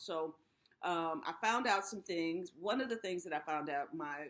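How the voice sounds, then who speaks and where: A woman's fairly low pitch and a normal speaking voice at a fairly slow pace. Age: 60s. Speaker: YouTube host for people over fifty. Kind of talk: casual talk to camera.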